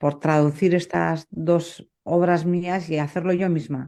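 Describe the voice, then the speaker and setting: Over a quiet background, a woman speaks with a Basque accent. Her voice is fairly low, with a dark, mellow tone and fairly even intonation. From Basque Country, Spain. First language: Basque (speaking Spanish). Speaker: poet. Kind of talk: interview conversation. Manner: hesitant, many fillers.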